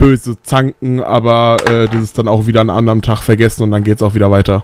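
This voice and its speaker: A plain, everyday voice moves at a fairly quick pace, the sound dry and close with no echo. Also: man. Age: 20s. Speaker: metal band bassist. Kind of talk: casual radio interview.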